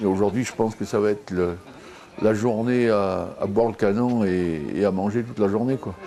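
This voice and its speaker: The man's voice carries ordinary pitch variation. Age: 60s. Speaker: village festival organizer. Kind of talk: casual interview.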